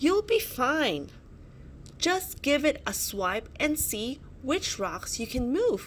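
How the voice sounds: A woman performs a put-on character voice at a slow pace. Her high pitch moves in big swings.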